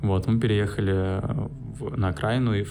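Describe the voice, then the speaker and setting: In a space with audible room echo and noticeable background noise, a man speaks at a fairly low pitch with ordinary variation. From Russia, St. Petersburg. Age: 20s. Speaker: podcaster. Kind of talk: solo monologue. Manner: halting.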